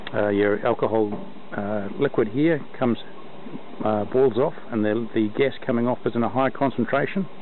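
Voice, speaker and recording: Light background noise runs under a man's voice. He speaks at a moderate pace, and the sound is dry with no echo. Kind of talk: tutorial. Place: open country. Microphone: phone near.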